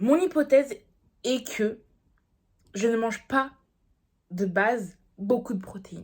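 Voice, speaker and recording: A woman's somewhat breathy voice, fairly high in pitch, with lively intonation. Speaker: diet vlogger. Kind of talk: casual vlog talk to camera.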